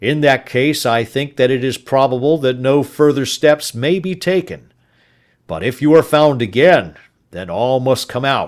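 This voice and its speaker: A man does a raspy put-on character voice at medium pitch and a moderate pace, in a very clean recording with a silent background. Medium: read story. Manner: brisk, official.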